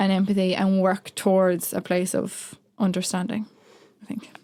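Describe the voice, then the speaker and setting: This woman's voice sits at a medium pitch. Her pace is moderate. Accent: Irish. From rural Ireland. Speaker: writer in residence. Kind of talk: interview. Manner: hesitant, many fillers.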